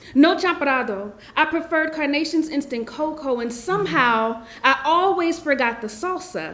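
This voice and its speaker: A woman talks at a fairly slow pace with lively intonation. Room echo is audible. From South Central Los Angeles. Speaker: spoken word poet. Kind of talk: poetry reading. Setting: stage with audience.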